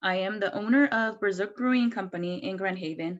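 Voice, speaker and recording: Speaking at a fairly quick pace with a Mexican accent, a woman uses ordinary pitch variation against a quiet background. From Mexico. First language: Spanish. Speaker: brewery owner and nonprofit board member. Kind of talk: video call presentation.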